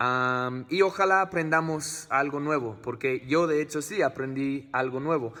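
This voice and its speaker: In an English accent, a man speaks with a bright, sharp tone and fairly high pitch, using ordinary pitch variation, a fairly slow pace and hardly any pauses. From United States. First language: English (speaking Spanish). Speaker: family vlogger. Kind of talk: vlog talk to camera. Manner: halting, many fillers.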